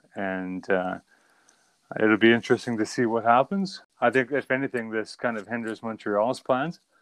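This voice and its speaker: A man at a medium pitch and moderate pace, an ordinary speaking voice. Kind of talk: casual sports podcast chat. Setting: remote recording, online audio call.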